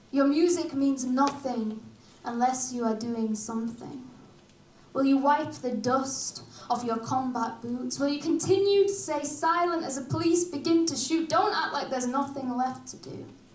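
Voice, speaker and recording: A woman with a Yorkshire accent speaks at a high pitch and a moderate pace, with ordinary pitch variation. Noticeable background noise and audible room echo fill the recording. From Hull, Yorkshire, northern England. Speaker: performance poet. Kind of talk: casual stage banter; spoken word poetry performance.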